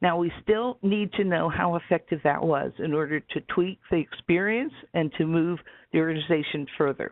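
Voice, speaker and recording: An unremarkable speaking voice from a woman, fairly low in pitch, fairly quick, with ordinary pitch variation. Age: 60s. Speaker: webinar presenter. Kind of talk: lecture. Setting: webinar.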